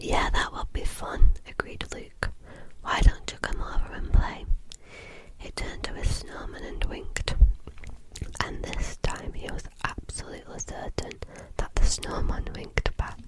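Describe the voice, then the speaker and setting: Whispering at a fairly slow pace, with long, frequent pauses over noticeable background noise. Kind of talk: ASMR story reading. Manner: whispered.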